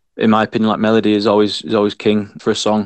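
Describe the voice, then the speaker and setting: A man rattles along at a very fast pace in a fairly low voice with monotone, flat intonation. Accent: Yorkshire. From Scarborough, North Yorkshire. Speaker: musician in a local band. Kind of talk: casual interview.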